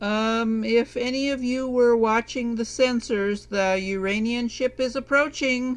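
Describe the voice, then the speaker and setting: Over a quiet background, a put-on character voice with a fairly high pitch moves at a fairly slow pace with hardly any pauses. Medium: audio drama. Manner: dry, wry.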